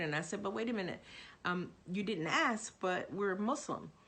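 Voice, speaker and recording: Audible room echo accompanies a woman talking at a moderate pace with ordinary pitch variation. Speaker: religion professor. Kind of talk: course introduction monologue. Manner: halting, many fillers.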